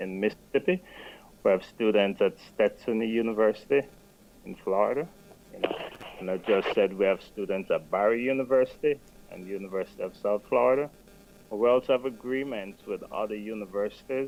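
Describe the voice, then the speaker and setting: The speaker has an American accent and a fairly quick pace, with ordinary pitch variation. Loudness swings widely, and there is noticeable background noise. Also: man, medium pitch for a man. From Jamaica. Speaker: non-profit scholarship program director. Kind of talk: radio interview. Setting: studio.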